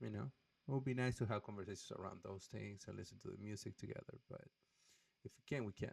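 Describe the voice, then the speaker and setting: Fairly quick and fairly low-pitched, a man talks with a strong non-native accent and ordinary pitch variation. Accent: thick foreign accent in English. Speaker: YouTuber, guitar and music channel. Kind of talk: casual vlog channel update. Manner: hesitant, many filler words.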